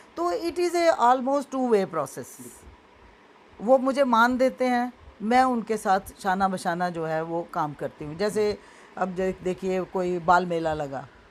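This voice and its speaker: This woman's voice sits at a medium pitch. It swings very widely up and down. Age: 70s. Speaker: school founder and social activist. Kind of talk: interview.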